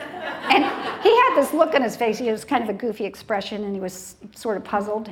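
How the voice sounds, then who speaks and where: A woman's fairly high voice with lively intonation and audible room echo. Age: 60s. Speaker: TV talk show host. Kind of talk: talk show monologue. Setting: stage with live audience.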